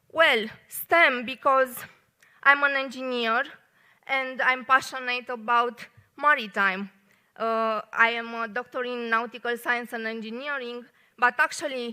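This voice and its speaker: In a Romanian accent, a woman speaks at a fairly slow pace in a high, bright, sharp voice with fairly even intonation. The recording is very clean with a silent background. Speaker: engineer and poet giving a short talk. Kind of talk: short public talk. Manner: hesitant, many fillers.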